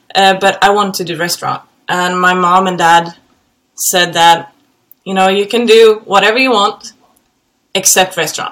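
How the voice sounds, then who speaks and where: A woman's medium-pitched voice with a Swedish accent, moderate pace, fairly even intonation, and long, frequent pauses. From Sweden, Gothenburg. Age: 30s. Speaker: helicopter pilot. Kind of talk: casual chat.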